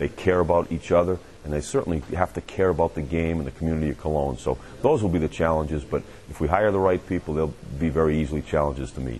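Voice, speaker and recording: A man with a New England accent talks at a very fast pace. His pitch is very deep and low, with ordinary variation. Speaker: American football head coach. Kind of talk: interview.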